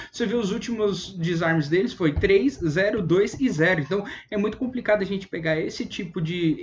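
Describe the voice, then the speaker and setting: Noticeable background noise sits behind a man whose pitch shows ordinary variation. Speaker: fantasy football analyst. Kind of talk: online video analysis. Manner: fast.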